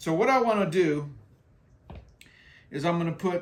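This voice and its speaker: A man speaks at a moderate pace with a high pitch. His pitch variation is ordinary. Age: 60s. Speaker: skating vlogger, military veteran. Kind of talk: casual tutorial. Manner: casual, repetitive with fillers.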